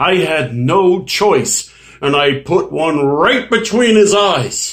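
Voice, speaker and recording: Very slow male speech over a quiet background. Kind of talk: acted dramatic monologue. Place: home room. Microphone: webcam.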